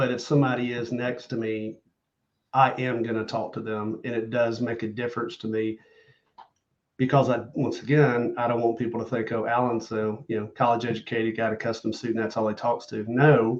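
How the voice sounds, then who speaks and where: A man with a Southern US accent speaks at a fairly quick pace and medium pitch. His intonation is monotone and flat. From US South. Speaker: loan officer and social media content creator. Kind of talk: podcast interview.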